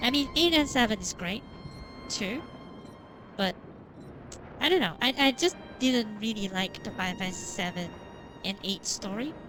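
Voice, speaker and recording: A woman with a fairly high pitch speaks at a moderate pace, her pitch swinging very widely. She leaves long, frequent pauses, with music in the background. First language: not English. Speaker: vtuber game streamer. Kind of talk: live stream chat while gaming. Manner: halting, many fillers and repeats.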